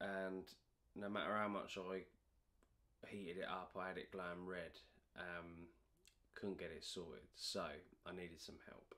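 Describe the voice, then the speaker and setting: A man with a very deep, low pitch speaks in a monotone, flat intonation at a fairly slow pace. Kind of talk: casual vlog chat. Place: garage.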